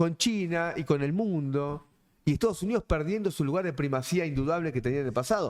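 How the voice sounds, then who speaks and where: Speaking in a Rioplatense accent, a man uses an animated tone, a fairly high pitch and ordinary pitch variation at a fairly quick pace. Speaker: politician. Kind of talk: panel discussion. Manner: fast.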